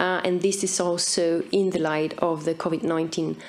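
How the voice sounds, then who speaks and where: A woman with a fairly low pitch speaks at a moderate pace with monotone, flat intonation. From Austria. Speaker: migration researcher; conference presenter. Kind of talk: conference presentation.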